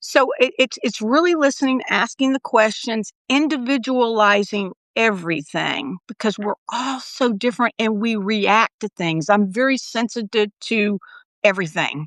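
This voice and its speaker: A woman with a normal speaking voice and fairly high pitch speaks at a moderate pace with lively intonation, the sound dry and close with no echo. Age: 60s. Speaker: nurse and wellness coach. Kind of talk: casual chat. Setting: livestream.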